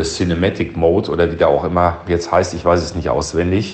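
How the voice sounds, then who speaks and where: In a room with audible echo, a man talks at a moderate pace with a very deep, low pitch. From Berlin. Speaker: listener leaving a voice message. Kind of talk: recorded voice message.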